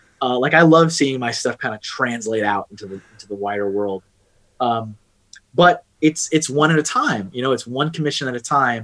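Using an ordinary speaking voice, a man with an American accent talks at a moderate pace and medium pitch, with ordinary pitch variation and big swings in loudness. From Texas. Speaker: freelance artist. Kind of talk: casual chat.

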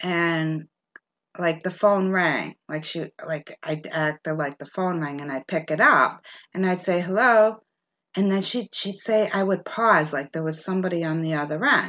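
An unremarkable speaking voice moves at a moderate pace with ordinary pitch variation against a quiet background. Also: woman. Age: 50s. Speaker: podcast host. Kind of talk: casual storytelling chat.

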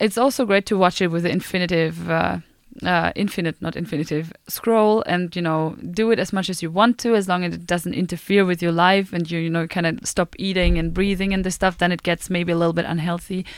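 A normal speaking voice at a fairly quick pace, with fairly even intonation and hardly any pauses, on a very clean recording with a silent background. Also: woman, fairly low pitch for a woman. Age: 20s. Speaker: student radio co-host. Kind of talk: casual chat. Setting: studio.

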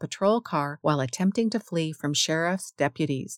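On a very clean recording with a silent background, a woman talks at a moderate pace with very wide pitch swings. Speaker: radio host reading history segments for blind listeners. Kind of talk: history radio narration, scripted and read aloud. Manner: steady, even, clear newsreader delivery.

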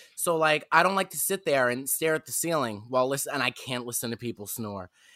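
In a New York accent, the voice has a bright, sharp tone and a fairly quick pace, recorded with a dry, close sound and no echo. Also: man. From Staten Island, New York. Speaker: comedian. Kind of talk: casual chat. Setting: video call.

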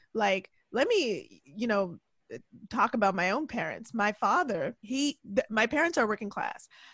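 A woman's fairly high voice, an ordinary speaking voice, with lively intonation at a fairly slow pace, dry and close with no echo, on a very clean recording with a silent background. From Toronto, Canada. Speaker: journalist and political podcaster. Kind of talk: casual chat.

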